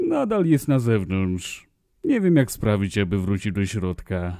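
Over a silent background in a very clean recording, a man uses a put-on character voice at a fairly low pitch. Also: moderate pace. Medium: dub.

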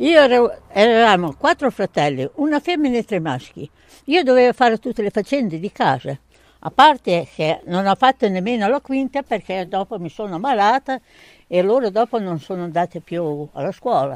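At a moderate pace, the voice makes very wide pitch swings in a dry sound with no echo over a quiet background. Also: woman. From Romagna, Italy (Cesenatico); Romagna, Italy. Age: 70s. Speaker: elderly homemaker sharing memories. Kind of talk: oral history storytelling to schoolchildren. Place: garden. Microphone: handheld.

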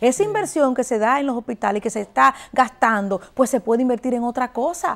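A woman talks at a fairly quick pace. Her voice is high in pitch. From Dominican Republic. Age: young. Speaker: politician. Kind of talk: interview. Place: studio. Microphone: lapel.

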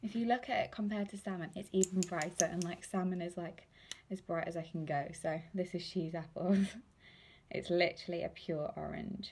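Over light background noise, a woman speaks in a somewhat breathy voice with fairly even intonation. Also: moderate pace. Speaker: lip product seller. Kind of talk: casual live unboxing chat. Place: home room. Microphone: phone near.

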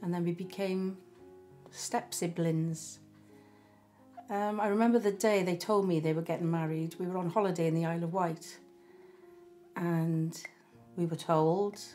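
A woman with a South Welsh accent talks at a fairly slow pace in a fairly low pitch, her intonation fairly even, with faint music in the background. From Barry, South Wales. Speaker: storyteller recalling her life. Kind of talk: interview answer. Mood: reflective, gently emotional. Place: home room. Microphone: camera far.

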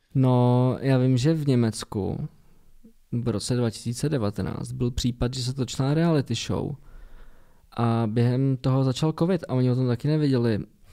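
At a fairly slow pace, a man speaks with a medium pitch, a dark, mellow tone and fairly even intonation. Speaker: podcast co-host. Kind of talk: casual chat. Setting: studio.

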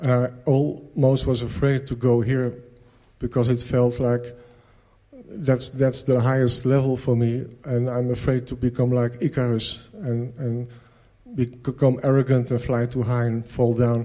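At a medium pitch, a man speaks in a dark, mellow tone with monotone, flat intonation. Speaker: retreat participant. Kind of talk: testimony. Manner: halting.

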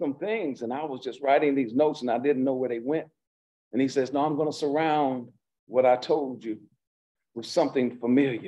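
A man talks at a fairly quick pace in a dark, mellow tone with ordinary pitch variation. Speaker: pastor. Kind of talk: sermon. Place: church. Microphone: podium.

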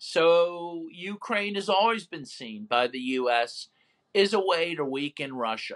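A man speaks at a very slow pace with very wide pitch swings. The background is quiet. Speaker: human rights lawyer and author; interview guest. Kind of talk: interview. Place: home room. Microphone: video call.

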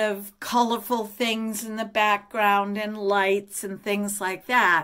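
There is a quiet background behind the woman who is speaking. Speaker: tarot vlogger. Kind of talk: casual vlog chat. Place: home room. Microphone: phone near.

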